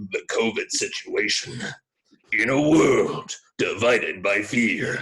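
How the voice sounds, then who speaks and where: Fairly slow, put-on character voice from a man. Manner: dramatic, portentous.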